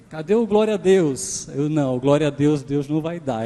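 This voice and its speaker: Fairly high pitch from a man, with ordinary variation in pitch. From Pernambuco, Brazil. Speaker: guest preacher. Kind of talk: sermon. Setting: church.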